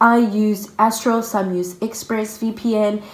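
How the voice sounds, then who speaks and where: Through noticeable background noise, a woman with a South African accent speaks at a fairly high pitch. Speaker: YouTuber. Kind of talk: casual vlog. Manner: animated.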